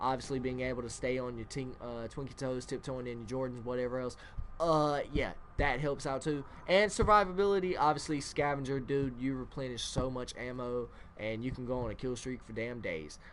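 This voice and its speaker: With ordinary pitch variation and a medium pitch, a man talks at a fairly quick pace amid audible room echo. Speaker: gaming youtuber. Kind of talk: gameplay commentary. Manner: mumbling; casual, filler-heavy.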